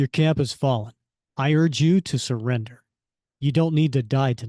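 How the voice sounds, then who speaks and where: A man puts on a character voice at a medium pitch. He keeps a moderate pace against a quiet background. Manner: commanding, earnest.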